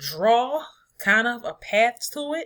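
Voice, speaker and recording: In a very clean recording with a silent background, a woman speaks with a bright, sharp tone and ordinary pitch variation. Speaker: math teacher. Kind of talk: recorded lesson.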